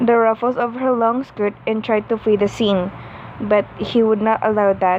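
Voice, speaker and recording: Noticeable background noise runs under a woman's fairly high voice. She speaks at a fairly slow pace with fairly even intonation. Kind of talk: read-aloud fan fiction story. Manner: stuttering, halting reading.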